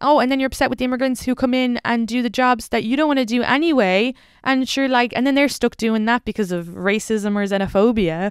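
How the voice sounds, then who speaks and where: A woman with an Irish accent speaks at a fairly quick pace with a fairly high pitch and ordinary pitch variation. The recording is very clean, with a silent background. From Ireland. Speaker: stand-up comedian. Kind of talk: casual chat. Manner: animated.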